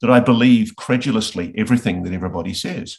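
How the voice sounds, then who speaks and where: A man speaks with an Australian accent. The background is quiet. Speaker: investigative journalist. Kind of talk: interview. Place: home room. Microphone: video call.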